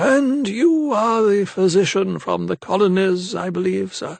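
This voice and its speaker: Pitched high, a man performs in a put-on character voice. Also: moderate pace. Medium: read story. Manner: genial, old-fashioned.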